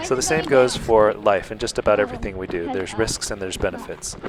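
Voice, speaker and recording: In a calm tone, a man with a fairly low pitch speaks at a fairly quick pace over noticeable background noise. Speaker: YouTuber. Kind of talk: vlog narration.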